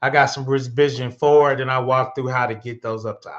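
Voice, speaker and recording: A plain, everyday voice from a man at medium pitch, with fairly even intonation against a quiet background. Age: 50s. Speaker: cybersecurity instructor. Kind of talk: live-streamed tutorial. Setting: live stream. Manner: casual, conversational.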